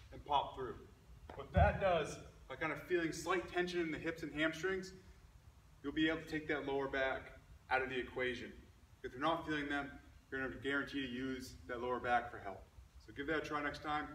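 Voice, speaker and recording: Amid light background noise and audible room echo, a man speaks with ordinary pitch variation and big swings in loudness. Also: fairly quick pace. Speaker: fitness coach. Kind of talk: tutorial. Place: gym. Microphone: camera far.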